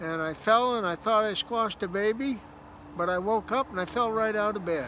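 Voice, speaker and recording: A man's high, raised and projected voice, bright and sharp in tone, at a moderate pace with ordinary pitch variation. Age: 60s. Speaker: storyteller vlogger. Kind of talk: casual storytelling.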